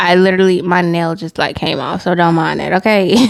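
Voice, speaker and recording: A woman with a normal speaking voice talks at a fairly quick pace and medium pitch, the sound dry and close with no echo. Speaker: tarot reader. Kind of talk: channeled tarot reading.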